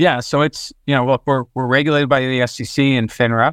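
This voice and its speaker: A man with an American accent talks at medium pitch with fairly even intonation, the sound dry and close with no echo. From New Jersey. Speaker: fintech executive. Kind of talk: interview. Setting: remote call. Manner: halting, many fillers.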